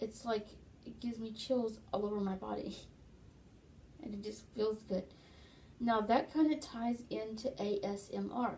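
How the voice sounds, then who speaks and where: Long pauses come often in this fairly slow delivery, and background noise is noticeable throughout. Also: woman, fairly high pitch for a woman, ordinary pitch variation. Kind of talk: casual talk to camera. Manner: conversational, explanatory.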